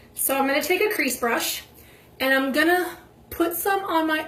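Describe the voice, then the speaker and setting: A woman talks at a moderate pace with lively intonation, her voice carrying audible room echo over noticeable background noise. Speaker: makeup video creator. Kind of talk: makeup tutorial.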